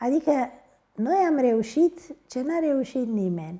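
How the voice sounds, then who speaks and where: At a very slow pace, a woman speaks with a dark, mellow tone and lively intonation. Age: 80s+. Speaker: historian. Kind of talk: interview.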